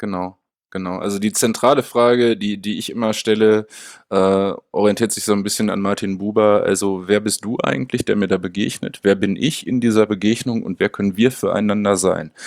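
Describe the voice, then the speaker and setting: A man with a normal speaking voice talks at a fairly low pitch and moderate pace, with fairly even intonation. The recording is very clean, with a silent background. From Münster, Germany. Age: 30s. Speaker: special education researcher. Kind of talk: interview conversation.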